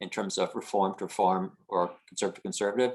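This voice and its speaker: A man's fairly low voice at a fairly quick pace, a plain, everyday voice. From northern New Jersey (Haworth). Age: 60s. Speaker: audience member asking questions. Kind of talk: panel Q&A question.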